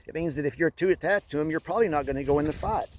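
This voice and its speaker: Fairly high male voice, ordinary pitch variation, noticeable background noise behind it. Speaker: spiritual vlogger. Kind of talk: casual monologue vlog while walking. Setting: outdoors in snow by a pond. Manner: halting speech from past strokes; hesitant, many fillers and restarts.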